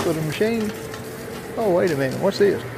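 Over noticeable background noise, a high-pitched man speaks in a Southern US accent with ordinary pitch variation. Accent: Southern US rural dialect. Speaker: traveling fair worker. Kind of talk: casual vlog talk to camera. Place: shop. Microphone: phone near.

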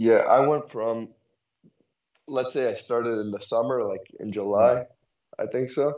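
In a New York accent, a man talks at a fairly slow pace with a medium pitch. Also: fairly even intonation. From Brooklyn, New York. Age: young. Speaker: chess student. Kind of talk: chess lesson. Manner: halting.

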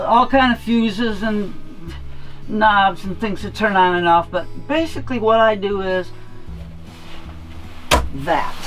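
Faint music sits in the background. Over it, a woman talks at a very slow pace. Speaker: van lifer. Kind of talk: casual van tour talk to camera. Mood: humorous, relaxed. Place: car. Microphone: camera far.

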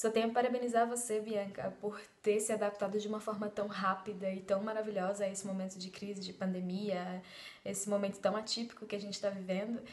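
A woman at a fairly quick pace with monotone, flat intonation. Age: 30s. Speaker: belly dance student. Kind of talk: testimony. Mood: warm, grateful. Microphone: phone near.

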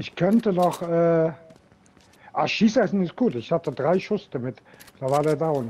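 Using a high pitch and lively intonation, a man speaks at a fairly slow pace with long, frequent pauses. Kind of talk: casual gaming chat.

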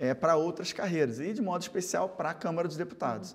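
A man speaks against a quiet background. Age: 40s. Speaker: politician. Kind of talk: TV interview. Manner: halting. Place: studio. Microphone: lapel.

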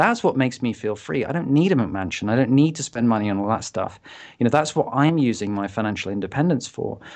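The delivery is very fast, with lively intonation. The background is quiet. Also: man, medium pitch for a man. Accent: British. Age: 40s. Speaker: entrepreneur and author. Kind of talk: casual interview chat.

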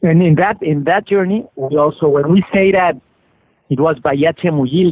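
Speaking at a moderate pace with a Spanish accent, a man has a fairly high pitch and ordinary pitch variation. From Mexico City, Mexico. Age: 40s. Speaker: author and conservationist. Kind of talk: interview. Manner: halting.

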